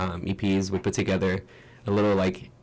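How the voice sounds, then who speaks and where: Speaking at a fairly quick pace, a man with a very deep, low pitch and a slight non-native accent keeps a fairly even intonation. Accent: slight foreign. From Brazil. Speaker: musician in a band. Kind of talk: radio interview. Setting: radio studio.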